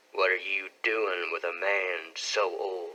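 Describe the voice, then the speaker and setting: This man puts on a raspy character voice pitched fairly low. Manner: suspicious, questioning.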